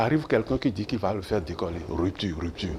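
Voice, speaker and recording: Somewhat breathy and at a fairly quick pace, a man's voice makes very wide pitch swings. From Benin. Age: 70s. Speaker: professor and former minister. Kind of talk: TV interview.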